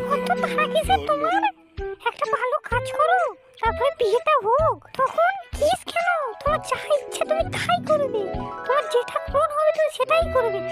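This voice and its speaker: With faint music in the background, a woman uses a cartoonish character voice at an extremely high pitch, moving at a moderate pace. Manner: scolding, blunt, rustic slang.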